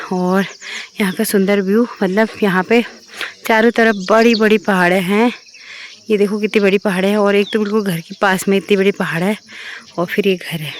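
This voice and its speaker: A woman speaks in a monotone, flat intonation amid noticeable background noise. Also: medium pitch for a woman, moderate pace. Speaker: travel and family vlogger. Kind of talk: casual vlog. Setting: outdoors on a rooftop.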